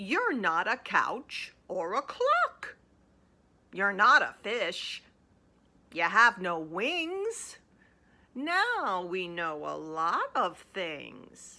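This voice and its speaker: Long, frequent pauses break up a put-on character voice that proceeds at a very slow pace. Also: woman, medium pitch for a woman. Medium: read story. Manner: scowling, didactic.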